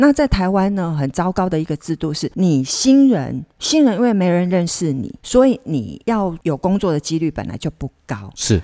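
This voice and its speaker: Hardly pausing at all, a woman with a fairly low pitch and a dark, mellow tone speaks at a moderate pace with very wide pitch swings on a very clean recording with a silent background and a dry, close sound with no echo. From Kaohsiung, southern Taiwan. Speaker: actress. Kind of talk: casual interview chat. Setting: on location away from studio.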